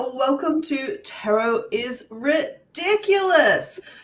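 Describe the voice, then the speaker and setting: A woman speaks in a high-pitched voice. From Australia. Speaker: podcast host, tarot deck creator. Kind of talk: casual podcast interview.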